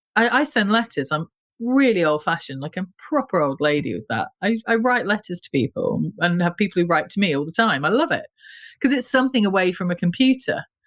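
On a very clean recording with a silent background, a woman with a British accent talks at a fairly quick pace with very wide pitch swings. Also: medium pitch for a woman. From UK. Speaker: gallerist and artist. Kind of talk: casual interview chat.

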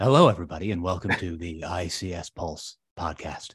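A man uses a put-on character voice, raspy and very deep in pitch. He talks at a moderate pace over a quiet background. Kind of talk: radio announcer; public radio style. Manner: calm and smooth.

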